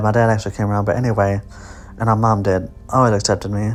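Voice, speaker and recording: A soft-spoken man of medium pitch, with music in the background. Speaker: independent film director and actor. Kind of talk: director's commentary. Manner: hesitant, many fillers.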